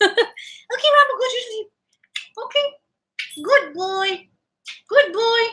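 A put-on character voice, squeaky and extremely high in pitch, at a fairly slow pace with long, frequent pauses. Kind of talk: baby talk to a pet. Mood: affectionate, soothing.

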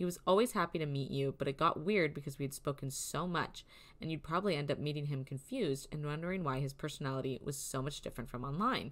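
Her animated tone comes at a very fast pace. The woman's pitch is very deep and low. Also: ordinary pitch variation. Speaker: podcast host. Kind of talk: casual chat.

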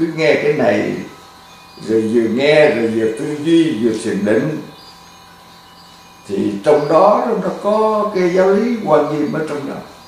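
At a very slow pace, a man speaks with long, frequent pauses. Strong room echo surrounds him, and music plays in the background. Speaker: Buddhist monk teacher. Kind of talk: sermon. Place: home room.

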